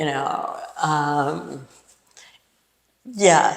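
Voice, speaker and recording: This woman has an American accent. Her voice is pitched very deep and low. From New York. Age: 70s. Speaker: actor and playwright. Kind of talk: interview. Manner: animated.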